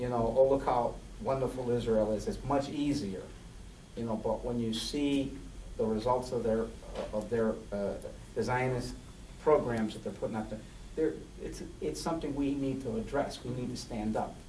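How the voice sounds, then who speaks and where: With audible room echo, a man talks at a moderate pace and medium pitch. His pitch varies in an ordinary way, and he takes long, frequent pauses. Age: 60s. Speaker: transgender activist, panelist. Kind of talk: panel discussion. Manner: halting, many repetitions.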